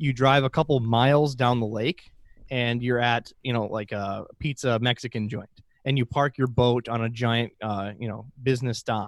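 The speaker has an Upper Midwest accent. The pace is moderate and the intonation fairly even. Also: man. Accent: Upper Midwest (Minnesota). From central northern Minnesota. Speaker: aquarium podcast host. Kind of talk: casual interview chat.

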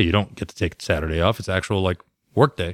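A man talks at a very fast pace in a West Coast accent. The recording is very clean with a silent background. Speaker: motorcycle podcast co-host. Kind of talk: casual chat.

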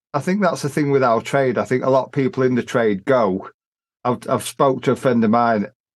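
A man speaks at a very fast pace with a medium pitch. His pitch variation is ordinary, and the background is quiet. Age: 50s. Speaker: podcast host, decorator. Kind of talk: casual chat. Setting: remote call.

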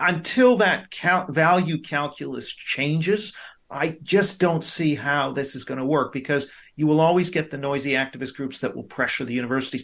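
Against a quiet background, a man talks in an ordinary speaking voice at a fairly high pitch. His pace is moderate and his pitch variation ordinary. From Canada and East Asia (Hong Kong, Tokyo, Vancouver). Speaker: professor. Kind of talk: radio interview.

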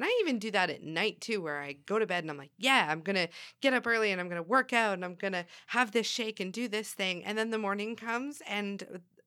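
Speaking in a normal speaking voice, a woman uses a medium pitch with ordinary pitch variation at a fairly quick pace, in a very clean recording with a silent background. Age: 30s. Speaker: podcast co-host. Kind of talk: casual chat.

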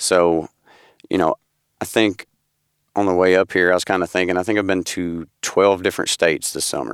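Speech comes at a moderate pace in a Southern US accent, with fairly even intonation and long, frequent pauses. The recording is very clean with a silent background and a dry, close sound with no echo. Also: man, very deep, low pitch for a man. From Tennessee. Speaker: amateur gun dog handler. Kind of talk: interview. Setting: studio.

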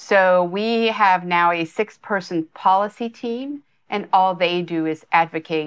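An unremarkable speaking voice moves at a fairly slow pace with ordinary pitch variation. The background is quiet. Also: woman. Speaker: nonprofit chief executive. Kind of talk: casual interview.

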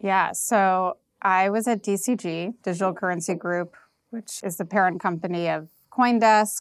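The recording is very clean, with a silent background. A woman of medium pitch speaks at a fairly slow pace with fairly even intonation. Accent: New York. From US, New York. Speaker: venture capital investor. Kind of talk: interview. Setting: office in Prague, in person.

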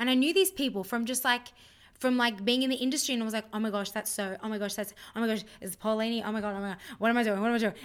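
A woman with an Australian accent talks at a very fast pace. Her pitch is fairly high, with ordinary variation. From Australia (Sydney). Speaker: musical theatre performer and singer. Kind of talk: casual chat.

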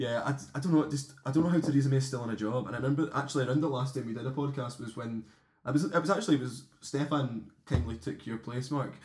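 A man in a Glasgow accent, medium-pitched and somewhat breathy, with ordinary pitch variation and a very fast pace. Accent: Scottish (Glasgow). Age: 20s. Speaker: podcast co-host. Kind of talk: casual chat. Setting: home kitchen.

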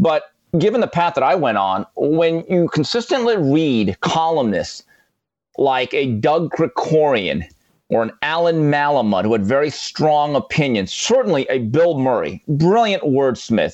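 A man's fairly high voice with very wide pitch swings and very even loudness, at a fairly slow pace over a quiet background. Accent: Californian. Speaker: boxing broadcaster and sports writer. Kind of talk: casual chat.

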